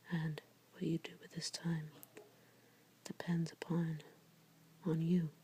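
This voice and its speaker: The speaker is soft-spoken, moving at a fairly slow pace with long, frequent pauses. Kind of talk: ASMR tarot reading, soft-spoken. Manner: soft-spoken, relaxing.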